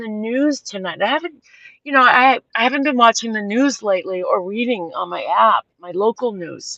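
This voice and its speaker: With a Boston accent, a woman speaks at a moderate pace in a fairly high pitch, her tone animated, bright and sharp, her intonation lively, and the sound dry and close with no echo. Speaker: livestream host. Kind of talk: casual chat. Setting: outdoors at sunset. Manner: rambling, animated.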